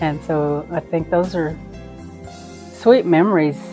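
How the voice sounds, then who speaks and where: Music runs behind the voice. A woman delivers her words at a very slow pace. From Midland, Texas. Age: 60s. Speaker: grandmother. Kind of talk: interview answer.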